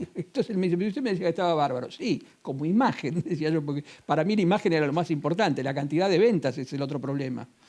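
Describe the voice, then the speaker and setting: This man talks at a very fast pace in a high pitch, his tone dark and mellow. His intonation is lively. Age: 60s. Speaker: real estate agency owner. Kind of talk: interview.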